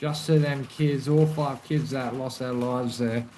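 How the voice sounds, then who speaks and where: Someone with an Australian accent speaks over noticeable background noise. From South Australia, Adelaide. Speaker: livestreamer. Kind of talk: casual live stream chat.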